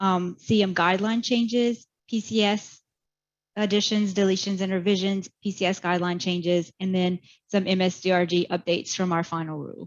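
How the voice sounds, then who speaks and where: In an ordinary speaking voice, a woman of medium pitch talks at a fairly quick pace with fairly even intonation against a quiet background. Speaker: medical coding educator. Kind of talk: webinar presentation.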